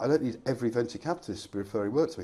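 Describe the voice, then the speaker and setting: With an English accent, a man speaks in a dark, mellow tone at a medium pitch with lively intonation. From England, Reading. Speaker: fractional finance director. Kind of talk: casual interview chat.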